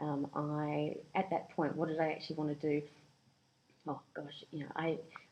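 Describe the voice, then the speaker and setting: In a New Zealand accent, a woman speaks at a moderate pace with a very deep, low pitch, a dark, mellow tone and fairly even intonation. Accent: New Zealand accent picked up there. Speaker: career coach. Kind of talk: podcast interview.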